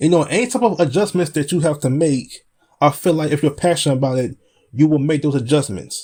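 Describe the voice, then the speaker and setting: Moving at a fairly quick pace, a man with a fairly high pitch sounds somewhat breathy, dark and mellow, with lively intonation. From US Midwest, Chicago. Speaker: podcast host and spoken word poet. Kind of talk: casual chat.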